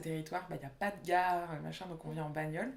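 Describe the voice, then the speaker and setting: A woman's voice with fairly even intonation. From Réunion. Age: 20s. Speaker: urban planning architect. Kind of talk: interview. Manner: casual, hesitant with fillers.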